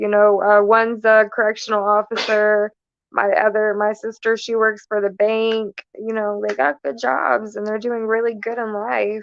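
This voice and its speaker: Her pitch fairly high and her intonation fairly even, a woman with a plain, everyday voice talks at a moderate pace. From Florida. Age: 20s. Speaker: guest on recovery talk show. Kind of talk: casual interview.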